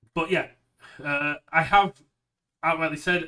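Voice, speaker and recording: With a British accent, a man speaks in a bright, sharp tone and fairly even intonation. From United Kingdom. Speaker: card game streamer. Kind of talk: casual chat.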